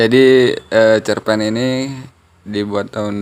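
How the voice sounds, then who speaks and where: At a very slow pace, a man speaks in a fairly low, monotone voice with flat intonation. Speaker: short story writer and reader. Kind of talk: casual introduction.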